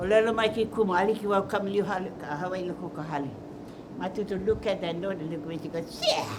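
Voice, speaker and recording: With noticeable noise behind her, a woman speaks at a very fast pace and with fairly even intonation. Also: medium pitch for a woman. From Hawaii (Molokaʻi and Oʻahu). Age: 80s+. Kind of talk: documentary interview, personal storytelling.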